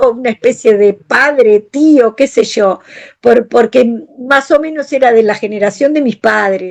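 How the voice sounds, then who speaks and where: A woman talks at a fairly slow pace. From Uruguay. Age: 60s. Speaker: family counselor. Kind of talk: personal testimony in podcast interview.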